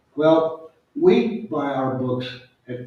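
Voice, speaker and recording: A man with a fairly high pitch speaks with lively intonation, and some room echo can be heard. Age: 70s. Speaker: nature photographer and book author. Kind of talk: audience Q&A at a book talk. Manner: conversational, with hesitations and restarts.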